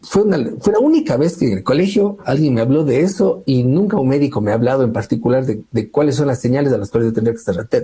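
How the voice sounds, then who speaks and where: Fairly high-pitched, a man races along at a very fast pace with hardly any pauses and very wide pitch swings. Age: 40s. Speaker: academic researcher. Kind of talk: interview testimony.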